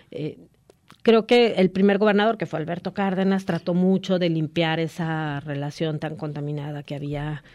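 An ordinary speaking voice from a woman, moderate in pace and with ordinary pitch variation. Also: fairly low pitch for a woman, quiet background. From Guadalajara, Mexico. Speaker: radio news anchor and journalist. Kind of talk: casual radio interview.

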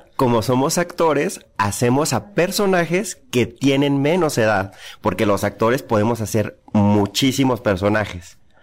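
A man speaks at a fairly slow pace with hardly any pauses, very even loudness and very wide pitch swings on a very clean recording with a silent background. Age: 40s. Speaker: actor and playwright. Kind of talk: interview.

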